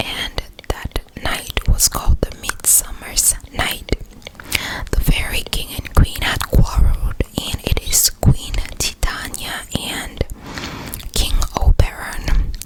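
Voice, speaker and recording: Whispering in a breathy, put-on character voice, a woman speaks at a fairly slow pace. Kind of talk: ASMR bedtime story whisper. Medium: read story. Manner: slow, soothing, repeats words.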